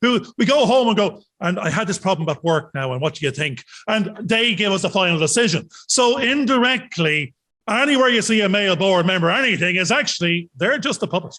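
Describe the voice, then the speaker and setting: Raising and projecting his voice, a man with an Irish accent speaks at a fairly quick pace, high-pitched, with a bright, sharp tone and lively intonation. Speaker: podcast co-host. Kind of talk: casual chat.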